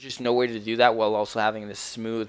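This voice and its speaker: Speaking at a fairly quick pace, a man delivers his words in a fairly low pitch with monotone, flat intonation. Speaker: video game streamer. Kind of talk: casual live stream commentary. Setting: live stream. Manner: casual, hesitant with fillers.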